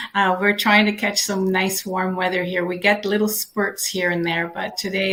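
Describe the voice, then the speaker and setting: A woman with a Canadian accent speaks in a plain, everyday voice at medium pitch, keeping a moderate pace and fairly even intonation. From Canada, Toronto. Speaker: digital business owner. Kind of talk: casual introduction on live video session.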